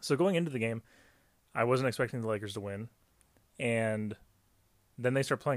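Recorded very cleanly against a silent background, a man speaks in a medium pitch with ordinary pitch variation. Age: 20s. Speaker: sports podcast host. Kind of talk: solo sports commentary podcast. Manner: casual, conversational.

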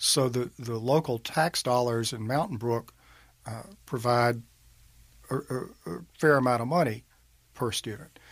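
In a very clean recording with a silent background, a man speaks at a fairly slow pace with a Mississippi accent. His pitch is medium with ordinary variation, and he leaves long, frequent pauses. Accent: Southern US (Mississippi). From US South, northeast Mississippi (Monroe County). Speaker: state senator, attorney. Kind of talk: interview.

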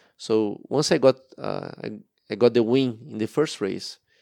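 A man with a Portuguese accent, medium pitch and a dark, mellow tone, in a very clean, dry, close recording with a silent background and no echo. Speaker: former racing driver. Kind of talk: interview. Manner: halting.

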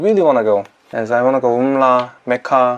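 Here a man speaks with a Korean accent. His pace is moderate. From South Korea. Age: 20s. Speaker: YouTuber. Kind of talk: casual interview.

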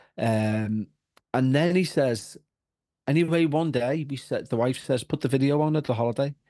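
A man with a Liverpool accent talks at a moderate pace in a fairly high voice with a dark, mellow tone. His pitch variation is ordinary, and the background is quiet. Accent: Liverpool (Scouse). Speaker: paranormal podcaster. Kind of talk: casual chat.

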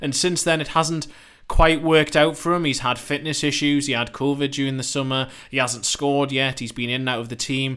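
With a British accent, the voice has a bright, sharp tone and fairly even intonation. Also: man, fairly high pitch for a man. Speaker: football correspondent. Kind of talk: casual chat.

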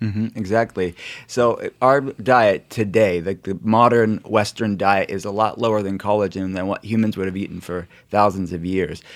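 A man talks in an unremarkable speaking voice, fairly low and fairly even in intonation. He keeps a moderate pace on a very clean recording with a silent background. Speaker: podcast cohost. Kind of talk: casual chat.

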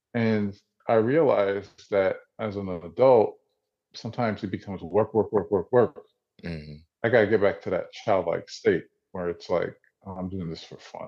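A man with a New Jersey accent speaks at a moderate pace and fairly low pitch, with ordinary pitch variation. His loudness swings widely, and he pauses long and often. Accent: New Jersey American. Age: 40s. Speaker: visual artist. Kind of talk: interview.

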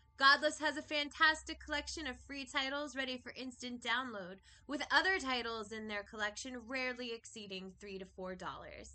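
A woman's high-pitched voice moves at a moderate pace with lively intonation and big swings in loudness. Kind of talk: podcast host banter. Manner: animated, exuberant.

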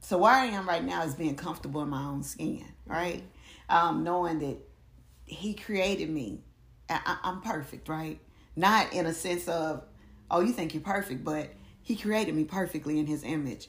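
A woman speaks with a fairly low pitch and ordinary pitch variation. Vocal fry runs through her voice. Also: moderate pace. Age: 40s. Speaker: ordained elder, author and poet. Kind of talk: casual chat.

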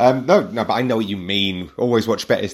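A man with an ordinary speaking voice talks at a fairly quick pace, his pitch varying in an ordinary way. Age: 30s. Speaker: football podcast host. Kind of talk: casual chat.

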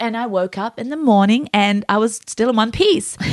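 A woman talks at a moderate pace with a fairly high pitch. Hers is an unremarkable speaking voice. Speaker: podcast host and new mom. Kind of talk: casual chat.

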